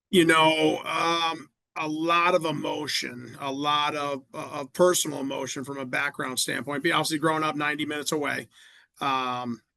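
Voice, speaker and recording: Over a quiet background, a man with a Midwestern American accent speaks at a moderate pace in a fairly high pitch, his tone bright and sharp and his intonation monotone and flat. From Indiana, Fort Wayne. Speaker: college football coach. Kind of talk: podcast interview. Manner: halting, many repetitions.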